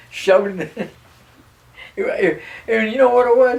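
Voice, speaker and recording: Noticeable background noise is present. A man speaks at a fairly slow pace. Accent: American. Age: 80s+. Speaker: war veteran. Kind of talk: interview answer.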